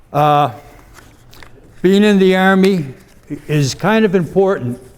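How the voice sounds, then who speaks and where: In an American accent, a man speaks at a very slow pace, his pitch high with ordinary variation. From US Midwest, Cleveland area. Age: 70s. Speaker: invited speaker, army veteran. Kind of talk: talk to a club audience.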